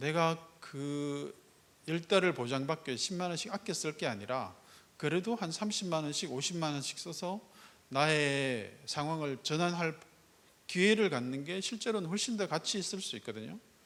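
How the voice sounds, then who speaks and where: A man with a fairly high pitch talks moderately fast, his intonation lively. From Gyeongsang province, South Korea. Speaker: startup foundation executive. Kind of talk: keynote speech. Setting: stage with audience.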